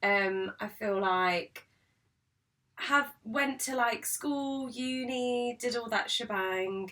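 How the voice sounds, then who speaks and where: With a British accent, a woman speaks at a very slow pace in a high pitch, her tone bright and sharp and her pitch variation ordinary. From UK. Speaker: podcast co-host. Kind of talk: casual chat. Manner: halting.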